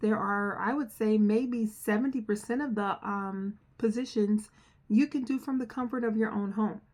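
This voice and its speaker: Speaking with an American accent, a woman keeps her intonation fairly even. Her voice is somewhat breathy, and her pace is fairly slow. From New Jersey. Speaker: software trainer. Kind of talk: casual promotional talk to camera. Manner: earnest, conversational with fillers.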